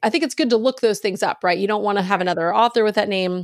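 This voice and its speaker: This woman has an unremarkable speaking voice and an American accent, at medium pitch with ordinary pitch variation. The recording is very clean, with a silent background. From US South (Virginia/Texas). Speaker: author and podcast host. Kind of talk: interview.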